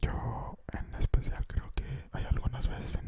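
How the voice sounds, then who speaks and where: Against loud background noise, a soft-spoken man whispers at a very slow pace. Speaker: ASMR creator. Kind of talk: soft-spoken ASMR talk. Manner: soft close-mic ASMR whisper. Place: home room. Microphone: studio mic.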